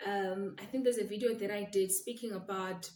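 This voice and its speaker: A woman talks at a moderate pace in a medium pitch, her intonation monotone and flat and her voice somewhat breathy. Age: young. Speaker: attorney and law firm owner. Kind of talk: vlog monologue. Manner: soft-spoken.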